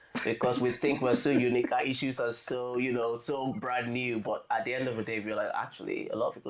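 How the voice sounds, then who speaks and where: A man speaks with a Nigerian accent. His pace is fairly quick. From Nigeria, southern Efik region. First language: Efik. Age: 30s. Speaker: podcast guest sharing testimony. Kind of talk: casual chat. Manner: halting.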